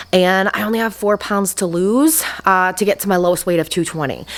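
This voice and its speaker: A woman at medium pitch uses a plain, everyday voice with ordinary pitch variation. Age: 40s. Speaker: weight loss vlogger. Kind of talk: casual vlog update. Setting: garage.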